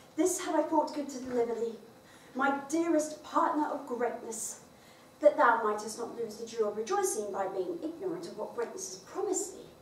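In a room with audible echo and light background noise, a woman with a high pitch speaks with very wide pitch swings and big swings in loudness. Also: moderate pace. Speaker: actor performing monologues. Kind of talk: theatrical monologue. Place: stage. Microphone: camera far.

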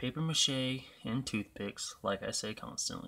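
A man speaks quietly. His pitch varies in an ordinary way. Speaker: gaming youtuber. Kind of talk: gameplay commentary. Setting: home apartment at night. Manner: quiet, subdued. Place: home room.

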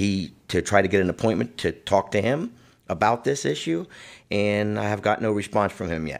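A man talks at a moderate pace against a quiet background. His voice shows vocal fry and lively intonation. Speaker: guest. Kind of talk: interview answer. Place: studio.

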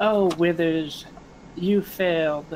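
A put-on character voice sits at a middle pitch and sounds raspy. Clear background noise runs behind it.

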